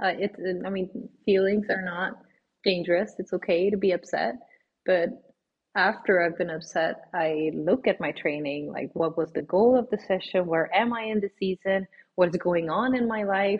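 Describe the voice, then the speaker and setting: This woman has a Swedish accent and a medium pitch. She talks at a moderate pace with ordinary pitch variation. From Sweden. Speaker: obstacle course racer. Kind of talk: interview.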